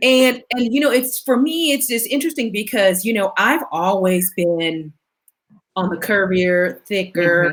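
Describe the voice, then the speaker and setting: In an unremarkable speaking voice, a woman of medium pitch talks fairly slowly with lively intonation. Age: 40s. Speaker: plus size model and blogger. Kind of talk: casual chat.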